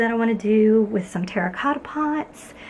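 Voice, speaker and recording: A woman's fairly high voice comes through with noticeable background noise behind it. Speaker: arts and crafts YouTuber. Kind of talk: casual vlog update. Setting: garage studio. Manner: soft-spoken.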